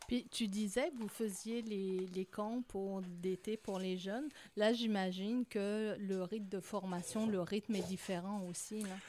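At a very slow pace, a woman of medium pitch talks in a dark, mellow tone with fairly even intonation. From France. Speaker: coach. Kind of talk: casual chat.

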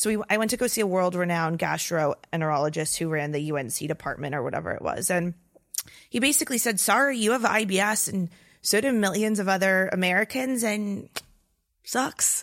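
In a very clean recording with a silent background, a woman with an unremarkable speaking voice talks fairly quickly and with lively intonation. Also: medium pitch for a woman. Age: 20s. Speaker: wellness content creator and podcaster. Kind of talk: casual interview.

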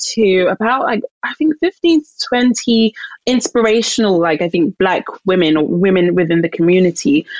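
In a London accent, a woman speaks at a medium pitch and moderate pace. Her loudness is very even, and the sound is dry and close with no echo. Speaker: author and publisher. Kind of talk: interview.

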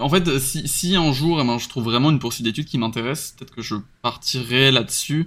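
Recorded very cleanly over a silent background, a man speaks at a fairly quick pace with a medium pitch and ordinary pitch variation. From western France, Nantes. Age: 20s. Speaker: web developer. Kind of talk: casual chat. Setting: live stream. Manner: halting, frequent repetitions.

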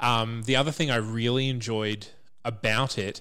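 In a very clean recording with a silent background, a man talks at a fairly slow pace in a plain, everyday voice of medium pitch. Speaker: podcast reviewer. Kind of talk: casual chat.

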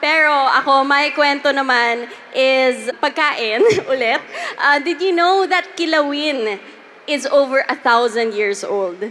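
A woman uses a raised, projected voice at a high pitch and a fairly slow pace. Noticeable background noise is present. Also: lively intonation. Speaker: podcast host. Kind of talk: live panel storytelling. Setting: stage with audience.

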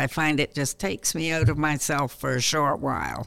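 There is a silent background and a very clean recording as a woman talks. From Canada. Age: 70s. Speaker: retired panelist. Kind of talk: casual panel discussion. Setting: studio.

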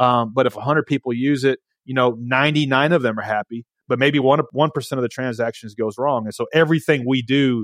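A man with a Southern US accent talks at a fairly quick pace, his medium pitch held to fairly even intonation. The sound is dry and close with no echo, on a very clean recording with a silent background. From Nashville, Tennessee. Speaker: entrepreneur, company co-founder. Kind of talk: interview. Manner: halting, frequent repetitions.

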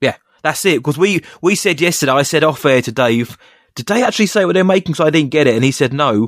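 A man talks at a very fast pace with lively intonation and a fairly high pitch. The recording is very clean, with a silent background. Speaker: podcast host. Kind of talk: casual chat.

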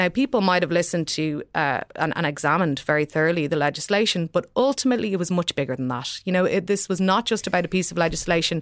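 Very fast and lively in intonation, a woman with an Irish accent comes through a dry, close sound with no echo. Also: hardly any pauses. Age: 30s. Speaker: newspaper columnist. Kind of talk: panel discussion. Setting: studio.

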